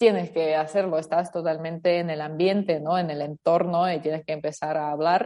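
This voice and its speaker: This woman speaks with a fairly low pitch. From Ukraine. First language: Ukrainian or Russian (speaking Spanish). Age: 20s. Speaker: interview guest. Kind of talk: interview conversation.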